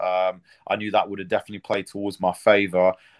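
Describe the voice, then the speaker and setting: A very fast man's voice in a British accent, dry and close with no echo, over a quiet background. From Britain. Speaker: MMA fighter. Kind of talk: interview.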